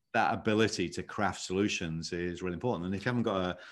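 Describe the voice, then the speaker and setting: A man with a British accent and a very deep, low voice, talking very fast with ordinary pitch variation against a quiet background. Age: 50s. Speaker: leadership consultant. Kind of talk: podcast interview.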